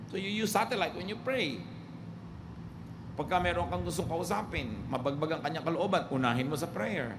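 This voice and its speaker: A fairly high-pitched man's voice with very wide pitch swings at a fairly quick pace. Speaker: preacher / pastor. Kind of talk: sermon preaching.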